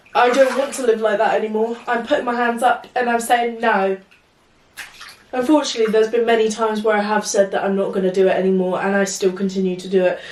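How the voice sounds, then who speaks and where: A woman with an English accent at a fairly high pitch and a very fast pace, over noticeable background noise. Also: ordinary pitch variation. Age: 20s. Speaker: vlogger. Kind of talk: casual chat. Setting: in the bath. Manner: talkative.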